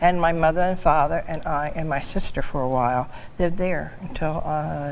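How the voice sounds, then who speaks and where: Someone with an American accent speaks with audible room echo. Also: woman. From New Jersey (Laurel Springs, Camden County). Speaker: longtime local resident. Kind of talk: oral history interview. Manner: halting.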